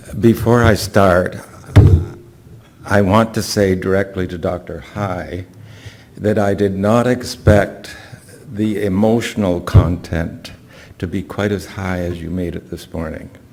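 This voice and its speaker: Amid noticeable background noise and audible room echo, a man speaks fairly slowly at a fairly low pitch, with long, frequent pauses and big swings in loudness. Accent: Canadian. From Canada. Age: 80s+. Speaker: patient speaker. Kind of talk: conference talk.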